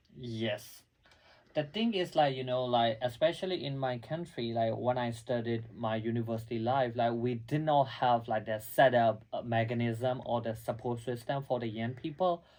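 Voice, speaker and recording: A man speaks at medium pitch and a moderate pace. His intonation is fairly even, with noticeable background noise behind him. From Myanmar, Lashio. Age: young. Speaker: youth advocate and graduate student. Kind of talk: interview.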